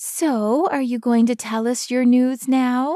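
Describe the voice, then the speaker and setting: A put-on character voice, female-sounding and high-pitched, delivered at a fairly slow pace. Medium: read story. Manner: blunt, protective.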